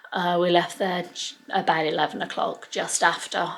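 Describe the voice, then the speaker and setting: A soft-spoken woman with an English accent talks at a fairly slow pace. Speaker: family vlogger. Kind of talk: casual vlog to camera. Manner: quiet, talking softly.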